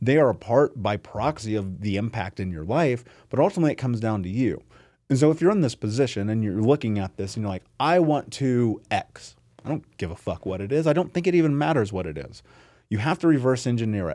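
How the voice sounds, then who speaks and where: In an American accent, a man speaks very fast at a medium pitch with very wide pitch swings and a dark, mellow tone. The recording is very clean, with a silent background. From US Midwest, Indianapolis. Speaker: entrepreneur and author. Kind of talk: casual interview. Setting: studio.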